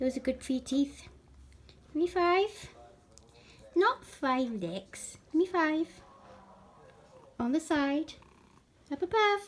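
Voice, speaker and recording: A woman with a Welsh accent speaks at a very slow pace with long, frequent pauses, her high voice carrying lively intonation. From Wales. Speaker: cat owner. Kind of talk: talking to a pet. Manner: affectionate, coaxing. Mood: affectionate, playful. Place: home room. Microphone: phone near.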